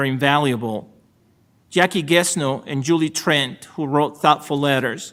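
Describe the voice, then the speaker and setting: Recorded very cleanly with a silent background, a man with a Salvadoran accent speaks at a fairly high pitch and fairly even intonation. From El Salvador. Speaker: supreme court justice. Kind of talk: ceremonial acceptance speech. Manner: formal.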